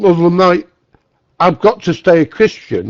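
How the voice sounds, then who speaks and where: In a Mancunian accent, a man speaks at a high pitch. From northern England, Manchester. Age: 60s. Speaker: guest in a religious dialogue room. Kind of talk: casual conversation. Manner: halting, repeats words.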